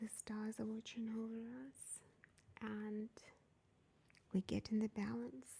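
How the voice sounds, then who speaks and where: A soft-spoken woman talks in a calm, somewhat breathy tone at a fairly high pitch. Her pace is very slow. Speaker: tarot reader and spiritual medium. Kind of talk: ASMR tarot reading. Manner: soft-spoken, calm.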